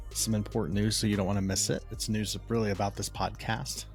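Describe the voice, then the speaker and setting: Music can be heard behind the speaker. He is a man talking rather briskly. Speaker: podcast host. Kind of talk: podcast intro, casual talk.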